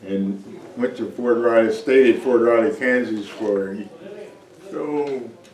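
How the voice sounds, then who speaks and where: A man with an American accent at a very slow pace, fairly even intonation and long, frequent pauses, with audible room echo and noticeable background noise. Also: medium pitch for a man. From Texas. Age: 80s+. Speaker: army veteran and church deacon. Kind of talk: interview. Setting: church. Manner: halting.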